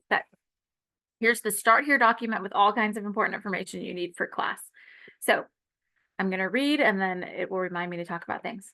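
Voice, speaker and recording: At a fairly quick pace broken by long, frequent pauses, a woman speaks in a bright, sharp tone with ordinary pitch variation. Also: medium pitch for a woman. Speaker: college instructor. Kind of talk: lecture. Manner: fast.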